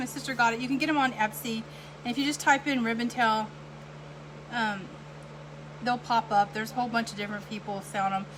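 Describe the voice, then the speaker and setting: A woman talks at a very fast pace in a fairly high pitch with ordinary pitch variation. Her speech has long, frequent pauses, and noticeable background noise is present. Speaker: wreath maker and night nurse. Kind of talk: live craft tutorial. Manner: rambling, halting with fillers.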